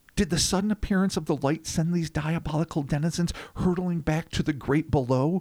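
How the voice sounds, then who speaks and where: A dramatic, theatrical tone comes through on a very clean recording with a silent background. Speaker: podcast co-host. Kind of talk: horror narration read aloud, with banter. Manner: dramatic, theatrical storytelling delivery; animated, joking.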